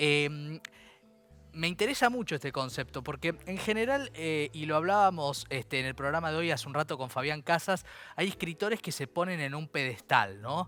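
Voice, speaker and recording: With a bright, sharp tone and lively intonation, a man speaks at a moderate pace and a fairly high pitch. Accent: Rioplatense. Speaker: radio host. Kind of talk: interview.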